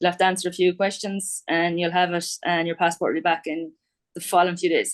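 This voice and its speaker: A woman with an Irish accent speaks very fast in a fairly low, flat monotone against a quiet background. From Ireland. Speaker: quantity surveyor. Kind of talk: casual interview.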